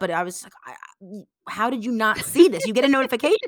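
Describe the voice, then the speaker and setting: A woman's fairly high, bright, sharp voice on a very clean recording with a silent background. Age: 20s. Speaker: guest co-host sharing dating experience. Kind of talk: casual chat.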